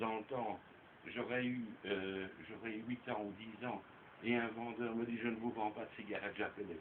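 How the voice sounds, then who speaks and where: Over noticeable background noise, a man talks at a medium pitch and a moderate pace. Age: 60s. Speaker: storyteller uncle. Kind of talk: casual chat.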